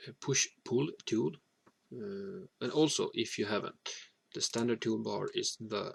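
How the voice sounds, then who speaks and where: A man at a fairly slow pace, dry and close with no echo. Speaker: hobbyist maker. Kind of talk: tutorial. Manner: halting, with frequent fillers.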